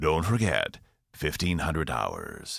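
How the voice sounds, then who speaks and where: A man speaks at a fairly slow pace in a put-on character voice with a very deep, low pitch. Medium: read story. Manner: formal, weighty, slow.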